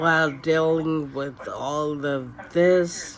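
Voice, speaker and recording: A woman's very deep, low-pitched voice amid noticeable background noise and audible room echo. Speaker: vlogger sharing her illness story. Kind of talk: personal testimony to camera. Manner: slow, effortful speech; halting with many fillers.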